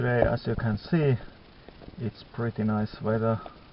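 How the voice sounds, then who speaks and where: Fairly even intonation at a fairly slow pace, over noticeable background noise. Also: man. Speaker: metal detecting vlogger. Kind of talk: casual vlog. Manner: halting.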